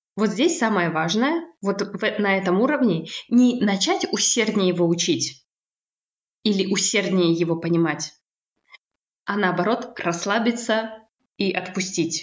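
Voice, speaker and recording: A woman's normal speaking voice at a medium pitch, with ordinary pitch variation. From Kazakhstan. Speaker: language teacher and psychologist. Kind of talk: casual interview.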